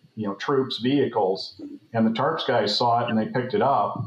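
There is audible room echo around this man's voice. He has an American accent and ordinary pitch variation. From US West (San Francisco Bay Area). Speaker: former naval flight officer; podcast guest. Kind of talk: casual interview. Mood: relaxed, reminiscing. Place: home room. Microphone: webcam.

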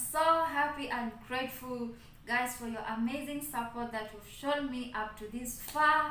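Over light background noise and audible room echo, a woman speaks at a fairly slow pace with a high pitch and fairly even intonation. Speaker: channel host. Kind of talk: casual vlog chat. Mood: grateful and cheerful. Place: home room. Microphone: phone near.

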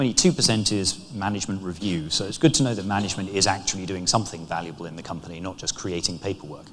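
At a fast pace, a man talks in a low voice with ordinary pitch variation.

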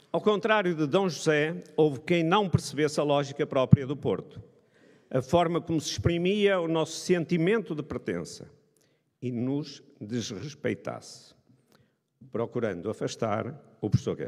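A man at a fairly high pitch, speaking at a fairly slow pace with long, frequent pauses. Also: quiet background. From Braga, northern Portugal; northern Portugal. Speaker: economics professor. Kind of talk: ceremonial speech. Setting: stage with audience. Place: hall. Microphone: podium.

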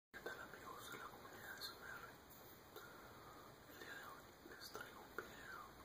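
Long, frequent pauses break up this man's speech. He talks at a fairly slow pace. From Mexico. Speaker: ASMR vlogger. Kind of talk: casual ASMR talk to camera. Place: home room. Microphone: webcam.

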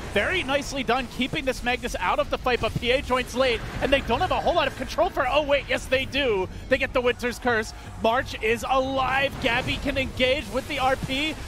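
With noticeable background noise behind him, a man speaks at an extremely high pitch. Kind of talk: esports commentary. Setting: broadcast esports commentary over game footage. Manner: excitable, with laughs.

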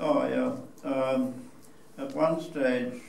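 A man speaks at a very slow pace. Audible room echo and light background noise surround his voice. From New Zealand. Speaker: war veteran. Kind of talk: public talk to an audience. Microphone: camera far.

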